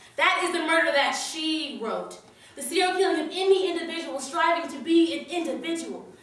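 Audible room echo surrounds a woman speaking at a moderate pace at an extremely high pitch, with ordinary pitch variation. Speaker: slam poet. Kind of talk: slam poetry performance, political spoken-word piece delivered live. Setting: stage with audience. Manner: rhythmic, punchy wordplay with building, accusatory intensity; long breathless run-on lines driving toward climaxes. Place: hall. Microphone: camera far.

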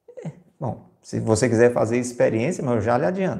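A man speaks in a dark, mellow tone with vocal fry and lively intonation. The background is quiet. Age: 50s. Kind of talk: homily / spiritual reflection broadcast live. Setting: live stream and radio broadcast. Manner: conversational, addresses listeners directly. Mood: warm, persuasive, smiling. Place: home room. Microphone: lapel.

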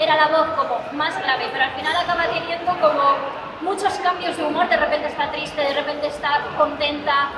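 A woman's raised, projected voice at a fairly quick pace, with crowd noise in the background. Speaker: voice actress panelist. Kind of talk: panel talk. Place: hall.

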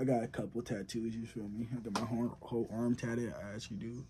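Over noticeable background noise, a man talks at a fairly quick pace in a somewhat breathy voice. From Southern California. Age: young. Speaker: college football player, YouTuber. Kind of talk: casual Q&A vlog. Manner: casual, slangy. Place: home room. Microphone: phone near.

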